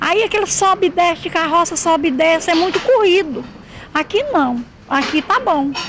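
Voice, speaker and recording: With noticeable background noise, a woman with an extremely high voice speaks at a moderate pace, her intonation lively and her loudness very even. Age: 60s. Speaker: waste picker. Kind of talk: interview.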